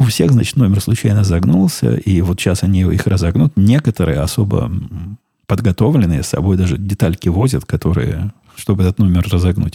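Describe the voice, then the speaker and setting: Very deep and low in pitch, a man speaks at a fairly quick pace with lively intonation and very even loudness, the sound dry and close with no echo. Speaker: podcast host. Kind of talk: casual monologue.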